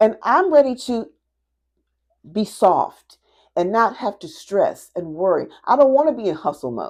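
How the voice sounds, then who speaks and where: Her voice shows vocal fry, very wide pitch swings and big swings in loudness, and it belongs to a woman. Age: 50s. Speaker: craft business owner and coach. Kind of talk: casual vlog talk to camera. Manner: repetitive, halting restarts.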